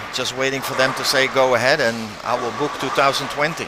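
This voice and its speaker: A medium-pitched man with a Dutch accent at a fairly quick pace, with noticeable background noise and audible room echo. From Netherlands, The Hague. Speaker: bowling commentator. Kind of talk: live commentary.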